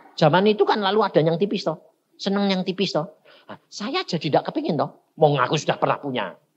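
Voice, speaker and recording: A high-pitched man at a very fast pace with lively intonation. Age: 60s. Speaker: evangelist preacher. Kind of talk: sermon. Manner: animated, colloquial storytelling.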